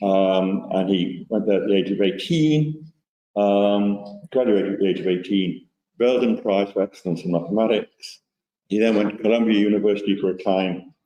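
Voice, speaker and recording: Speaking at a moderate pace, a man with an ordinary speaking voice keeps a fairly low pitch and ordinary pitch variation. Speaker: mathematics historian giving a colloquium talk. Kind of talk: lecture.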